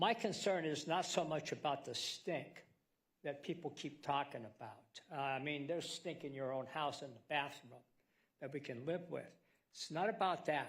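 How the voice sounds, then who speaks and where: Somewhat breathy and fairly high-pitched, a man speaks at a moderate pace. His pitch variation is ordinary. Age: 70s. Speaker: public commenter at hearing. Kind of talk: public testimony.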